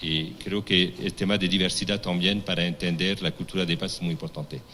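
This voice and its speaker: In a French accent, a man speaks with a very deep, low pitch, a bright, sharp tone and fairly even intonation. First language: French (speaking Spanish). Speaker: forum moderator, diplomat. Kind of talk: panel moderation. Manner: halting, many restarts.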